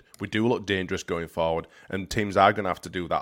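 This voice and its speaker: A man with a Yorkshire accent talks at a fairly quick pace in a very clean recording with a silent background. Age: 30s. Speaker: football podcast co-host. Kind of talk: casual chat.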